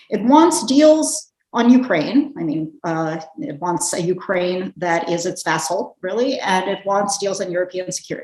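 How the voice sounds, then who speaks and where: At a moderate pace, a woman with an American accent talks with very wide pitch swings. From United States. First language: Russian. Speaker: policy analyst. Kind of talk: panel discussion. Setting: video call.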